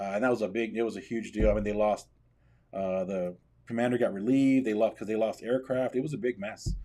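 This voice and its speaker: A man's dark, mellow voice with an American accent, very fast and fairly even in intonation, on a very clean recording with a silent background. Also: medium pitch for a man. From Texas, San Antonio. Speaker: military veteran. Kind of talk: interview. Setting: studio.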